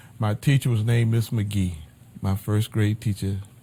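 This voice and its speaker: Here is a man with an American accent and a medium pitch. His voice is somewhat breathy. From north Florida (Madison, Jacksonville). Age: 70s. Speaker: pastor. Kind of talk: life story interview. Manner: halting.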